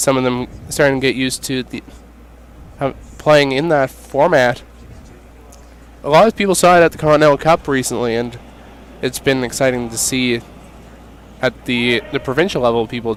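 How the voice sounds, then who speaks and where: A man at a medium pitch and moderate pace, with long, frequent pauses and noticeable background noise. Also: ordinary pitch variation. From Nova Scotia, Dartmouth. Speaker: curling commentator. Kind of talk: live commentary.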